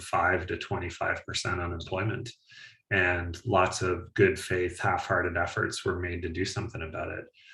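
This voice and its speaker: A man with an Atlantic Canadian accent. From Atlantic Canada (east coast). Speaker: climate policy analyst. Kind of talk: webinar panel discussion.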